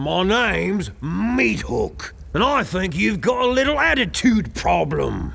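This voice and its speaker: Growling, a man performs a put-on character voice at a fairly slow pace. Background noise is clearly audible. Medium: video game. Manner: gruff, blustering.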